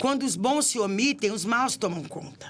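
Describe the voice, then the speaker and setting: A woman's fairly high voice swings very widely in pitch. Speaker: city councillor and women's affairs official. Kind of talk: podcast interview.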